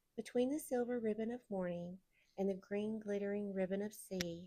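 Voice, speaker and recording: Speaking with a Southern US accent, a woman has a dark, mellow tone, medium pitch and ordinary pitch variation. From Southern United States. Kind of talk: audiobook read-aloud.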